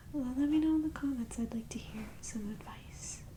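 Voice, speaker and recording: Someone soft-spoken with a gentle tone talks over noticeable background noise. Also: woman. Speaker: ASMR creator / channel host. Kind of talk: ASMR whispered ramble to camera. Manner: soft-spoken, gentle, conversational.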